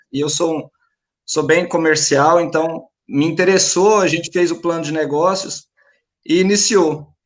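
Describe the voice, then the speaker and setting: Speaking in a rural Minas Gerais accent, a man uses a high pitch with ordinary variation at a moderate pace. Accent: rural Minas Gerais accent, kept. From Minas Gerais, Brazil. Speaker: paint store franchise owner. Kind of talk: panel discussion. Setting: live stream.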